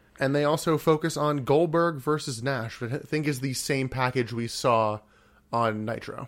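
In a very clean recording with a silent background, a man with an American accent speaks at a moderate pace, his fairly high pitch showing ordinary variation. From US Mid-Atlantic. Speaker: podcast host. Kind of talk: casual chat, wrestling podcast.

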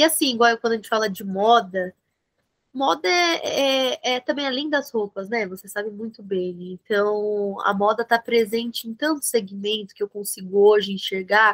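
A woman speaks at a moderate pace with fairly high pitch and ordinary pitch variation, in a dry, close sound with no echo. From Brazil, São Bernardo do Campo (São Paulo ABC region). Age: 20s. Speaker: fashion marketing entrepreneur and influencer. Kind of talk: interview. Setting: video call.

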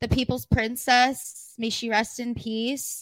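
Recorded very cleanly against a silent background, a woman with an American accent talks at a fairly slow pace and a fairly high pitch. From California high desert. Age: 20s. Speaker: podcast co-host. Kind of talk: casual chat.

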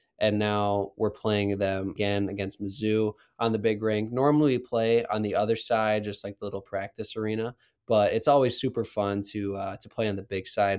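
A man with an American accent and a plain, everyday voice talks at a moderate pace, his fairly low pitch held in fairly even intonation. The recording is very clean, with a silent background. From Wisconsin (Waukesha). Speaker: college hockey captain. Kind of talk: interview.

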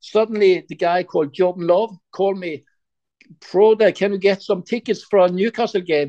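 A man with a Norwegian accent talks at a moderate pace in a dark, mellow tone. The sound is dry and close, with no echo. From Norway, Sandnes near Stavanger. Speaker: football fan guest, shop owner. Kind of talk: interview.

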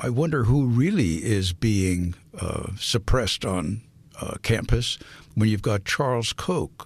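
A man's somewhat breathy, fairly low voice, with lively intonation at a fairly slow pace. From San Francisco, California. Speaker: retired professor of religious studies. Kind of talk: interview. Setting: radio studio. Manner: halting, many fillers.

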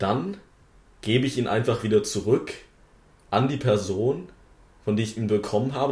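A man, fairly quick and somewhat breathy, with ordinary pitch variation. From Wittenberg, Saxony-Anhalt, Germany. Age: young. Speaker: parliamentary candidate, podcast host. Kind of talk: casual chat.

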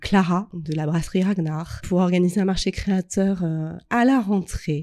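Against a silent background in a very clean recording, a woman speaks at a fairly slow pace in a dark, mellow tone. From Normandy, Rouen. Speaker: entrepreneur. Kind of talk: casual interview.

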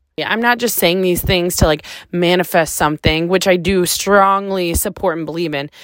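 A woman's fairly low voice at a moderate pace, with fairly even intonation. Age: 30s. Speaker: podcast host. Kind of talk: solo monologue. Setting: recording alone in a closet. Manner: casual, many fillers.

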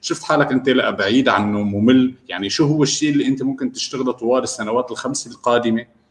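With ordinary pitch variation and a medium pitch, a man talks at a fairly quick pace. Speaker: remote work expert and freelancer. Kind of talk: interview. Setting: live online broadcast.

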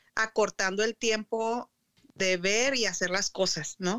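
Dry and close with no echo, a woman's medium-pitched voice has a bright, sharp tone and moves at a fairly slow pace. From northern Mexico, Chihuahua. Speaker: blogger and author. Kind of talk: casual chat.

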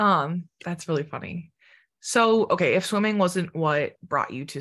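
With an unremarkable speaking voice, a woman talks at a fairly low pitch with ordinary pitch variation over a quiet background. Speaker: podcast host. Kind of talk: casual interview chat.

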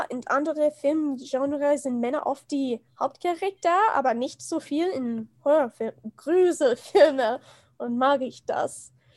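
A woman speaks in a high pitch with ordinary pitch variation. The sound is dry and close, with no echo. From USA. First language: English (speaking German). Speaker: film and gender studies enthusiast. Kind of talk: casual chat. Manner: halting.

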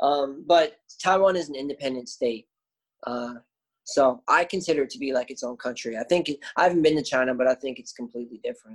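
Delivered at a very fast pace, the speech has ordinary pitch variation and big swings in loudness. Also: man, fairly high pitch for a man. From Canada, Windsor, Ontario. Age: 20s. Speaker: English teacher. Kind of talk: casual chat.

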